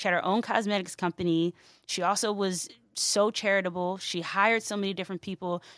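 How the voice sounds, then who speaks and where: A woman's medium-pitched voice, monotone and flat, at a fairly quick pace with an American accent and a dry, close sound with no echo. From South Jersey, near Philadelphia. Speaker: founder of a music media platform. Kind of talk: casual interview chat.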